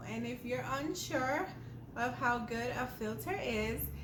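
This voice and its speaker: As the woman talks, noticeable noise can be heard behind her. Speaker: homemaker, lifestyle YouTuber. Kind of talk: casual talk to camera. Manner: slowed-down, deliberate pace.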